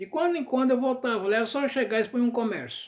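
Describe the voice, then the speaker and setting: A man talks at a fairly quick pace in an extremely high voice with ordinary pitch variation. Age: 80s+. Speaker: vlogger. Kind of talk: casual monologue. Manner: conversational, addressing viewers.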